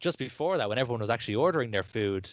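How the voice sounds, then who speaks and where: A man with an Irish accent, medium pitch, ordinary pitch variation and a very fast pace, against a quiet background. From Ireland. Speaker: podcast host. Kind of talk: casual chat.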